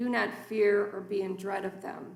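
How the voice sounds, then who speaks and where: Amid audible room echo, a woman of medium pitch talks at a very slow pace with vocal fry. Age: 60s. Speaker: guest preacher. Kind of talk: sermon. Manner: formal.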